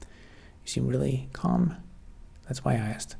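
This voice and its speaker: Soft-spoken, a man with vocal fry talks at a medium pitch. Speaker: software developer streamer. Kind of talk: live stream chat.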